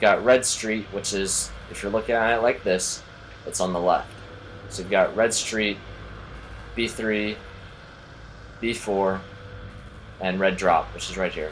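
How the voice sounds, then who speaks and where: Over noticeable background noise, a man talks at a fairly low pitch and a fairly slow pace, his intonation monotone and flat, with long, frequent pauses. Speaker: gaming YouTuber. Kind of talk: game tutorial commentary. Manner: casual, filler-heavy.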